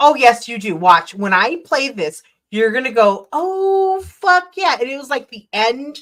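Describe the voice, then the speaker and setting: A woman with a Minnesotan accent speaks at a fairly slow pace, her pitch swinging very widely. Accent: Minnesota. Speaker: livestreamer. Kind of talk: casual chat.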